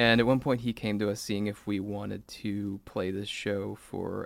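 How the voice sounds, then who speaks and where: A man talks with a West Coast US accent. He keeps a moderate pace at a fairly low pitch. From Salem, Oregon, US Pacific Northwest. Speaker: songwriter and band frontman. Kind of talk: casual interview chat. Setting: studio.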